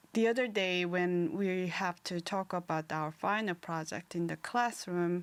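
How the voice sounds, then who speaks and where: With a Korean accent, a woman speaks at a fairly low pitch and takes hardly any pauses. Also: fairly slow pace. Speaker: podcast co-host, art student. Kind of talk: casual chat. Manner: halting.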